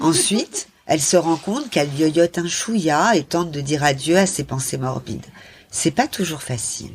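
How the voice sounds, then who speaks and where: On a very clean recording with a silent background, a woman with a fairly low pitch sounds somewhat breathy, speaking at a moderate pace with lively intonation. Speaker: author. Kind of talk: reading aloud. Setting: live event with audience.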